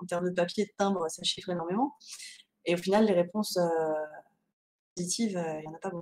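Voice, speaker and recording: Speech races along at a very fast pace, broken by long, frequent pauses. Loudness swings widely from moment to moment. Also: woman, fairly low pitch for a woman, fairly even intonation. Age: 30s. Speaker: novelist. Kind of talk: interview. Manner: hesitant, many fillers.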